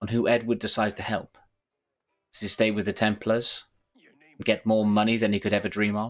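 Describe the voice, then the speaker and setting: A man speaks at a fairly quick pace. He has a Welsh accent. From Wales. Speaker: gaming YouTuber, game reviewer. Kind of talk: scripted game review narration.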